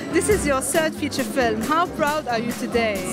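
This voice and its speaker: Clear music plays in the background while a woman talks at a moderate pace. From Lebanon. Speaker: TV host. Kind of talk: TV host presenting, red carpet interviews. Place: hall. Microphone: handheld.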